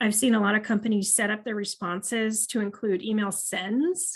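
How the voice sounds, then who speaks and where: A woman speaks at a moderate pace. Her fairly high voice is somewhat breathy. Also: quiet background. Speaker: marketing analytics trainer. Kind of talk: webinar presentation.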